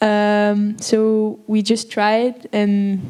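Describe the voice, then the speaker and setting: The intonation is monotone and flat. The woman's pitch is medium. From Belgium. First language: Dutch (Flemish). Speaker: actress. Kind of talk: Q&A panel after film screening. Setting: stage with audience.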